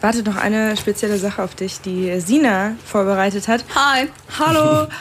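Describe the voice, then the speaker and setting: A normal speaking voice from a woman, medium-pitched and fairly slow. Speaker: student radio host. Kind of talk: interview.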